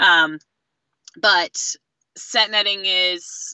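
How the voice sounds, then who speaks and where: In an American accent, a woman talks in a normal speaking voice at a medium pitch with fairly even intonation. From US Northeast, southeastern Connecticut. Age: young. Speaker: commercial fisherman and community organizer. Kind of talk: casual interview. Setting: phone call.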